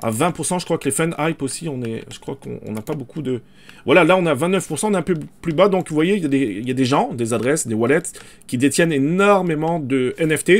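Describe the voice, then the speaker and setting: Lively intonation carries the speech at a fairly quick pace. The recording is very clean, with a silent background. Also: man, fairly high pitch for a man. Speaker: crypto and NFT YouTuber. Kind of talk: screen-share market commentary. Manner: fast; hesitant, many fillers.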